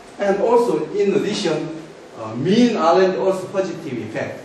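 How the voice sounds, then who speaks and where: Over noticeable background noise and audible room echo, a man with a Korean accent speaks fairly slowly in a high pitch with lively intonation. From South Korea. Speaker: academic researcher. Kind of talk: conference presentation. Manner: halting, many fillers.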